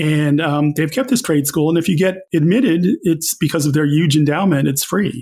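A man with an American accent speaks in a normal speaking voice at a fairly high pitch, with ordinary pitch variation, very even loudness and hardly any pauses. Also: moderate pace. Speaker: newspaper columnist and author. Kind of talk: interview conversation.

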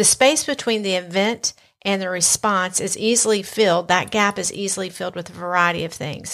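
Heard on a very clean recording with a silent background, the speaker has a Southern US accent, a moderate pace and ordinary pitch variation. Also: woman. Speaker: podcast host. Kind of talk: casual conversational podcast.

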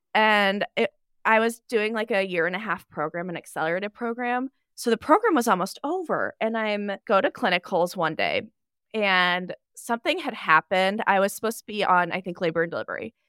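Loud and bright with a sharp tone, a woman in an American accent talks at a moderate pace and medium pitch with ordinary pitch variation, the sound dry and close with no echo on a very clean recording with a silent background. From Nebraska. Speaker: NICU nurse and travel blogger. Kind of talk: casual podcast interview.

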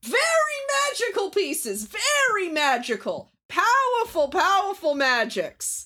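In a put-on character voice, the speaker uses an extremely high pitch with very wide pitch swings. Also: fairly slow pace. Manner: showy salesman pitch.

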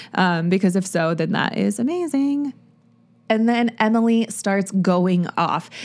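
Her voice unremarkable and medium in pitch, a woman speaks at a fairly slow pace with lively intonation and very even loudness. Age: 30s. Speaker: podcast host. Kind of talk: solo TV recap monologue. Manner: casual, chatty with filler words.

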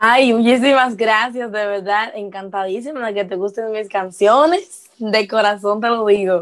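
Her pitch fairly high and intonation fairly even, a woman talks at a fairly slow pace with hardly any pauses. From Dominican Republic. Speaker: singer-songwriter. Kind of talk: casual interview.

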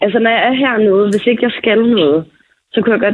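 A woman's fairly high, normal speaking voice at a moderate pace, with ordinary pitch variation. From Falster, Denmark. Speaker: friend acting as correspondent. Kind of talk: casual chat.

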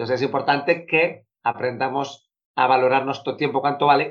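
He has an ordinary speaking voice. The man talks at a fairly quick pace. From Spain, Bilbao (Basque Country). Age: 40s. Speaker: productivity coach. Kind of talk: interview.

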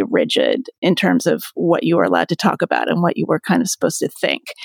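Vocal fry runs through this woman's voice. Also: dry, close sound with no echo. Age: 50s. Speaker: author and podcast host. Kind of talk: interview.

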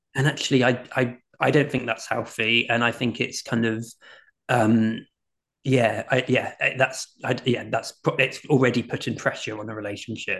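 With a British accent, a man speaks at a medium pitch and a moderate pace. His intonation is monotone and flat. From UK. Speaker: author and life coach. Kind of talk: casual interview chat. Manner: hesitant, filler-heavy.

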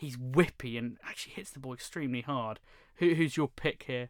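Speaking at a fairly quick pace with a British accent, a man has a bright, sharp tone and ordinary pitch variation in a very clean recording with a silent background. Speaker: tennis podcast host. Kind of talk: casual chat.

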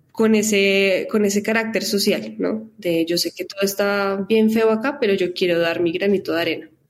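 In a normal speaking voice, a woman with a medium pitch talks at a moderate pace with fairly even intonation and hardly any pauses. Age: 20s. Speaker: advertising professional and foundation director. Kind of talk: interview.

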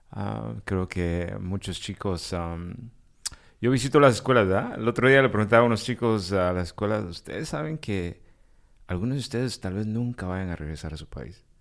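A man with a plain, everyday voice speaks at a moderate pace and a fairly low pitch, his intonation lively and his loudness swinging widely, on a very clean recording with a silent background. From Guatemala, raised in the US. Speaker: podcast co-host. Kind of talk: interview.

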